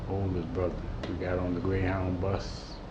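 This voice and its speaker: A man with an American accent and a very deep, low pitch speaks at a moderate pace. Noticeable background noise and audible room echo surround the recording. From Houston, Texas, then Watts, Los Angeles. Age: 60s. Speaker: interviewee, former activist. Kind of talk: oral history interview. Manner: halting, many repetitions.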